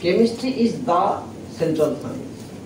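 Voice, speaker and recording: A man speaks with lively intonation and a high pitch, over noticeable background noise and audible room echo. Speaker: professor. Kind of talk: lecture. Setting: lecture hall with students. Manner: halting.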